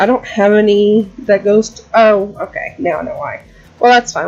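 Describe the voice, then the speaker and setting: Music plays in the background as a woman speaks. She keeps a moderate pace, her pitch fairly high. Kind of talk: casual gaming commentary. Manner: rambling; loud.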